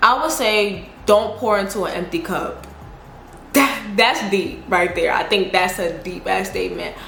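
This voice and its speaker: A woman with a strong Southern US accent, medium pitch and ordinary pitch variation, at a fairly slow pace, amid noticeable background noise and audible room echo. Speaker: YouTuber. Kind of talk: casual Q&A vlog. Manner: casual, slangy.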